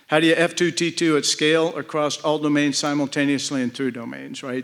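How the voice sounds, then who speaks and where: A man with an American accent, fairly high pitch and a flat, monotone delivery. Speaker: retired air force general, keynote speaker. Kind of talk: keynote address. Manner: fast.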